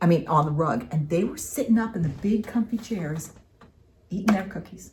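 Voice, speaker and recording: At a moderate pace, a woman speaks in a somewhat breathy voice with lively intonation. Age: 60s. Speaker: craft video co-host, retired middle school teacher. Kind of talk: casual chat.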